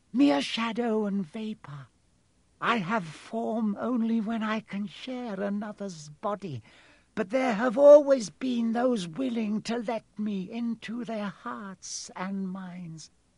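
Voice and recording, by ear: A man speaks slowly in a put-on character voice, pitched high with a slightly mellow tone. His pitch varies in an ordinary way, and there is a hissing sound.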